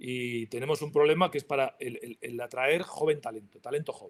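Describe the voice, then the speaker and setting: At a fairly quick pace, a man talks in a normal speaking voice, fairly high for a man. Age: 60s. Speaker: industry association president. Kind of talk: panel talk.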